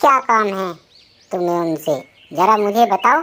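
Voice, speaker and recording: Using a cartoonish character voice, a woman speaks fairly slowly at a medium pitch. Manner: brusque.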